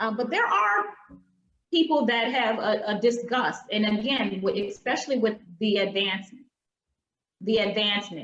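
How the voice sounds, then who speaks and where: Woman with an American accent, fairly high pitch, ordinary pitch variation, very even loudness, moderate pace and long, frequent pauses. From US South. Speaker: diversity workshop presenter. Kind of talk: online workshop talk. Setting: video call.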